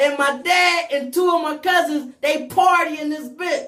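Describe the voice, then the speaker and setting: Raising and projecting his voice, a man speaks at a fairly slow pace in an animated tone that is bright and sharp, with ordinary pitch variation. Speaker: live talk show host. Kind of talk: casual chat. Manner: loud.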